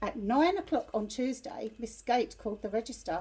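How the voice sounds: A woman speaks at a fairly high pitch in a dark, mellow tone. Her intonation is lively and her pace moderate.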